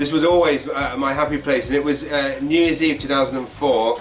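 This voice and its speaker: A man with an English accent at medium pitch and a fairly quick pace, with audible room echo and music in the background. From England, London. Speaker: comedian. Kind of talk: interview. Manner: talkative.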